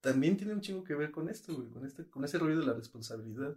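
A man's fairly high voice with lively intonation. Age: 20s. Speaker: podcast co-host. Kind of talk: casual chat.

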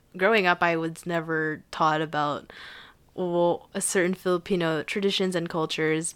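A woman's fairly low voice, in a monotone with flat intonation, at a moderate pace in a very clean recording with a silent background. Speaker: podcast co-host, university student. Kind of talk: casual chat.

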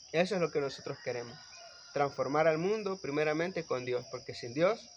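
A man at a fairly quick pace and a fairly high pitch, with lively intonation and noticeable background noise. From El Salvador, Guatemalan-Salvadoran family. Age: young. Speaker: electrical engineer and municipal councillor. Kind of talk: casual chat.

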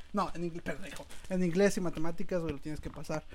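A man speaks at a very fast pace in a high pitch. His intonation stays fairly even. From Mexico, Guerrero. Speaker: podcast host. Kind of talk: casual chat.

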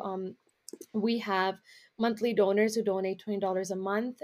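A woman with a Canadian accent, medium pitch and monotone, flat intonation. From Canada, Brampton Ontario, Punjabi community. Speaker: nonprofit founder. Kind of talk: casual interview.

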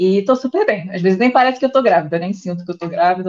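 Here a woman talks at a very fast pace. Her pitch is medium. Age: 30s. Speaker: nutritionist, pregnant trainee. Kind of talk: casual chat.

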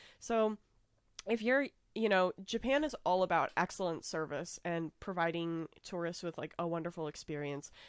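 A woman with an American accent talks in a normal speaking voice at a moderate pace, fairly low in pitch with lively intonation. The recording is dry and close with no echo and a very clean, silent background. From United States. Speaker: podcast host. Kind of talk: casual chat.

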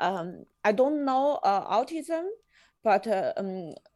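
Speaking very slowly with a Chinese accent, the voice comes through a very clean recording with a silent background. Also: woman. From China. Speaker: podcast host. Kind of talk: casual interview chat. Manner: halting, many fillers.

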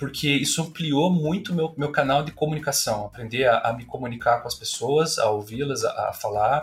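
A man's a normal speaking voice, fairly high in pitch, with ordinary pitch variation, a moderate pace and hardly any pauses. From Brazil, Curitiba. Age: 30s. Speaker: university professor. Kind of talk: casual interview.

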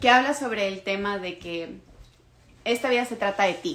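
At a fairly slow pace, the speaker uses a normal speaking voice with ordinary pitch variation. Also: woman. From Ecuador. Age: 20s. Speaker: podcast host. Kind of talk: solo monologue podcast.

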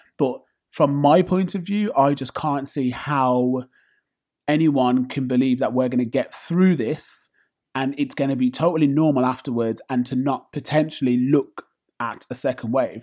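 Ordinary pitch variation over a quiet background. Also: man. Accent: British. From UK. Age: 30s. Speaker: podcast host. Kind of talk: casual monologue rant.

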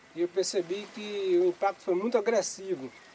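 A man's intonation stays fairly even against noticeable background noise. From Pernambuco, Brazil (rural south coast). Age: 50s. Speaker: fisherman and community museum founder. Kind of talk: interview testimony.

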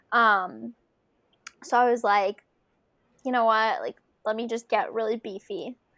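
An ordinary speaking voice at a moderate pace comes through a dry, close sound with no echo on a very clean recording with a silent background. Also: woman. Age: 20s. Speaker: emergency manager and marathon runner. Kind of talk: casual interview chat.

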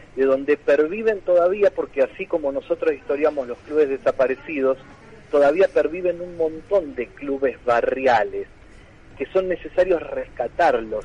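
The sound is dry and close with no echo. A man with a high pitch speaks at a moderate pace. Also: ordinary pitch variation. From Tandil, Buenos Aires province, Argentina. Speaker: history teacher and book author. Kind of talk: radio interview.

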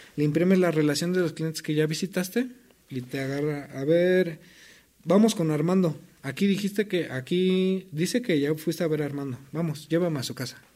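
Man's dark, mellow voice at a fairly high pitch, with ordinary pitch variation and a moderate pace. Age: 30s. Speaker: former debt collector, racing driver. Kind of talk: casual interview chat.

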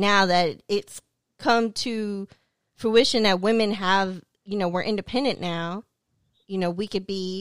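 Over a silent background in a very clean, dry, close recording with no echo, a woman speaks at a medium pitch and fairly slow pace, her intonation fairly even and her pauses long and frequent. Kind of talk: heated debate.

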